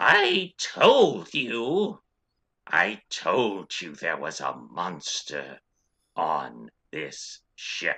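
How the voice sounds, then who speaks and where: In a put-on character voice, a man growls his words at a very slow pace. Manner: alarmed, urgent.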